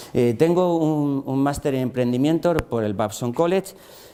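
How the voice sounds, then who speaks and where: Through noticeable background noise, a man speaks at a medium pitch and a fairly quick pace. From Spain. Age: 60s. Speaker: engineer and entrepreneur. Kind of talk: lecture. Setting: classroom masterclass for teachers. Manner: halting, many fillers and repetitions.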